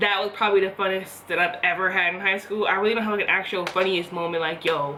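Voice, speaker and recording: A woman talks at a medium pitch. Noticeable background noise runs under her voice. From US Northeast, Philadelphia. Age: 20s. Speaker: beauty vlogger. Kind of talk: casual chat. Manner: casual, rambling with fillers.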